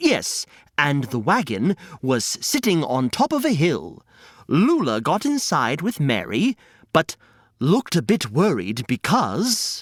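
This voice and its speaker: A man with a fairly high pitch talks at a very slow pace, showing vocal fry and very wide pitch swings. The recording is very clean, with a silent background. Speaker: podcast host and storyteller. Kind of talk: children's storytelling podcast narration.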